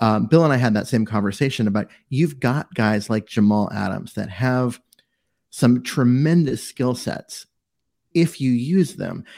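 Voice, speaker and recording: Speaking at a fairly slow pace, a man with an unremarkable speaking voice uses lively intonation at a medium pitch. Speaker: co-host, sports writer and football analyst. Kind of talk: casual sports podcast chat.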